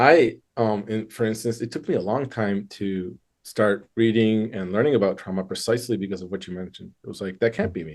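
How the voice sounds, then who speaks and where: A man's medium-pitched voice in a Michigan accent, fairly quick with hardly any pauses, with big swings in loudness. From Michigan, US. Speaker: therapist. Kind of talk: interview.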